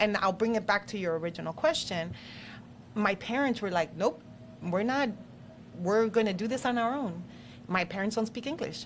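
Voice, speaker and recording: A woman speaks with a Spanish accent at medium pitch and a moderate pace. Her pitch varies in an ordinary way, broken by long, frequent pauses. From Mexico (Chihuahua), raised in US. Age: 50s. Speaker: local politician. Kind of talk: casual interview. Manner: animated.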